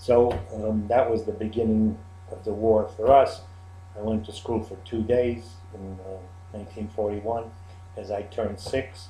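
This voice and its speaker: Over audible room echo, a man with a fairly low pitch speaks somewhat breathily in a dark, mellow tone, at a moderate pace with long, frequent pauses and monotone, flat intonation. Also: big swings in loudness. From Czechoslovakia. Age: 70s. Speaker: Holocaust survivor. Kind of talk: interview testimony. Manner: halting.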